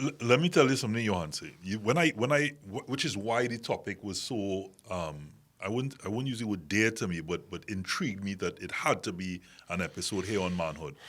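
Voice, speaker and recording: The speaker talks at a fairly quick pace with lively intonation. The recording is very clean, with a silent background. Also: man. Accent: Trinidadian. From Trinidad and Tobago. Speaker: talk show host. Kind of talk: panel discussion.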